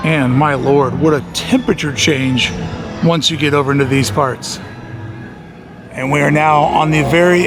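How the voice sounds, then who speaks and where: A man with a fairly high pitch at a moderate pace, with audible room echo and music in the background. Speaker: theme park vlogger. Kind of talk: walking vlog narration. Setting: outdoors in theme park. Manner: loud.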